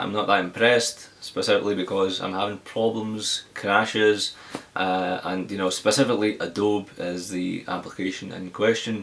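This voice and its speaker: In a Glaswegian accent, a man talks at a moderate pace. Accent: Glaswegian Scottish. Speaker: tech reviewer. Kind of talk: casual talk to camera, tech Q&A.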